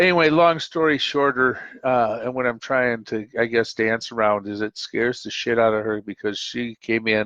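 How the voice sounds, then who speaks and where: This man speaks with an Upper Midwest accent and ordinary pitch variation. The sound is dry and close, with no echo. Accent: Upper Midwest American. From US Midwest, Minnesota (Twin Cities). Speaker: call-in show host. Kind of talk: casual monologue on live call-in show. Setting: live stream call-in show. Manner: halting, many fillers.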